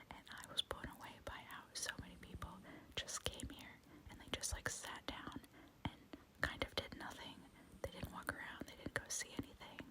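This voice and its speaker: A woman whispers in a calm tone at a moderate pace. Noticeable background noise can be heard. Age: 30s. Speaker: ASMR YouTuber, mother. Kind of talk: whispered ASMR travel vlog voiceover. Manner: whispered, soft, calm.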